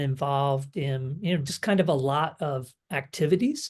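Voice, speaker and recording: A man speaks with a fairly high pitch and a somewhat breathy sound. The background is quiet. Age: 60s. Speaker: online fitness coaching client. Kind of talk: interview. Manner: halting, many fillers.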